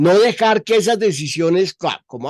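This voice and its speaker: The sound is dry and close with no echo. The pace is fairly slow. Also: man. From Colombia. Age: 70s. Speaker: journalist. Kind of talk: interview.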